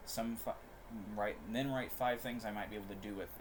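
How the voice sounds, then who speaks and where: Noticeable background noise and audible room echo fill the recording. A man with a fairly low pitch speaks in lively intonation. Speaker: streamer. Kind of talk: casual livestream chat. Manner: fast; halting.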